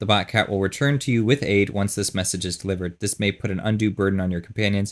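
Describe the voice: The clip is read aloud plainly, with intonation that stays fairly even.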